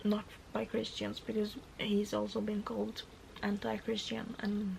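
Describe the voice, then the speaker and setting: A woman's fairly high voice with a Norwegian accent, over noticeable background noise. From Norway. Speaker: book vlogger. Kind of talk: casual vlog talk to camera.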